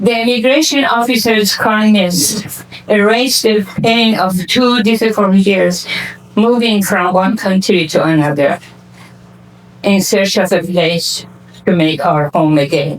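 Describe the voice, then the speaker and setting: A woman's medium-pitched voice at a fairly slow pace, very even in loudness, with ordinary pitch variation and noticeable background noise. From Iran. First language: Persian. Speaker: community foundation founder. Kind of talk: award acceptance speech.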